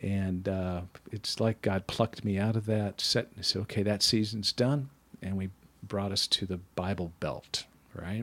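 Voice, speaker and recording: A man with an American accent has an ordinary speaking voice. He speaks at a fairly slow pace with a fairly low pitch and fairly even intonation. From US Midwest (Wisconsin). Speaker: church member, mentor. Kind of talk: interview about faith.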